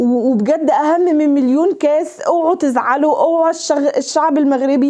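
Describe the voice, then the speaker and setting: Her loudness very even and her tone animated, a woman speaks at a high pitch and a moderate pace with ordinary pitch variation and hardly any pauses. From Egypt. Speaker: YouTuber. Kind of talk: emotional direct-to-camera address. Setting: unplanned handheld camera recording. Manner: halting, frequent stutters and restarts; animated, impassioned.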